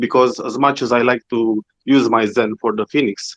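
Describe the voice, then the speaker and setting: A man with a non-native accent speaks at a moderate pace and medium pitch, with fairly even intonation. The sound is dry and close with no echo, against a quiet background. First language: not English. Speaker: community member asking a question. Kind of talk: question in audio chat space. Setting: online audio space. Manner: halting.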